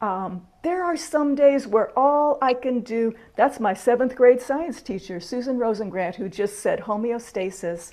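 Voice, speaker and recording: At a fairly slow pace, a woman talks in a high pitch with lively intonation. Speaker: minister leading online spiritual gathering. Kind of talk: teaching talk in casual video call. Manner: quiet.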